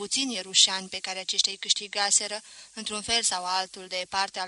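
This is a natural reading voice. It is a natural reading voice throughout.

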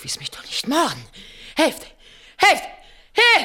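Doing a put-on character voice, a woman speaks slowly with a high pitch, a bright, sharp tone and very wide pitch swings.

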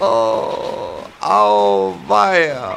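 A man does a put-on character voice, high-pitched and fairly bright, with vocal fry and big pitch swings. He goes at a very slow pace over faint background noise.

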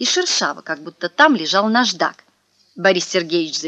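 Quiet surroundings behind a natural reading voice.

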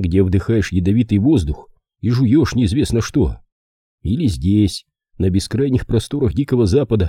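This is reading aloud in a natural voice. The intonation is lively, and the background is quiet.

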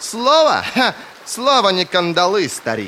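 Doing a put-on character voice, a man speaks at a fairly slow pace in a high pitch with a bright, sharp tone and very wide pitch swings, over faint background noise.

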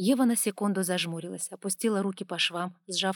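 Plain reading aloud, its pitch moving in an ordinary way

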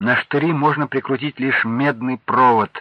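The text is read aloud plainly. Fairly even intonation marks the delivery.

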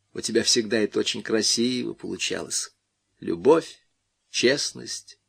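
A quiet background under plain reading aloud

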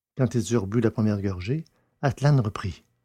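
A man's fairly low voice has a dark, mellow tone and a slightly husky edge, with ordinary pitch variation at a moderate pace.

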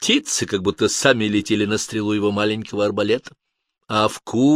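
Someone reads in an unforced reading voice over a quiet background.

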